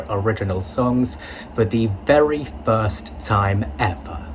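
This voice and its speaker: Against noticeable background noise, a man speaks in a fairly low pitch. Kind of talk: casual video commentary. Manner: halting, repeats words.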